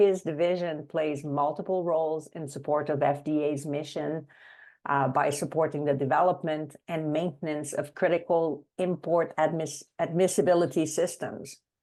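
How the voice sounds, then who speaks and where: Over a quiet background, a woman with a French accent speaks at a moderate pace in a very deep, low pitch, her intonation fairly even and her tone dark and mellow. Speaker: webinar moderator and consultant. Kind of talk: webinar introduction.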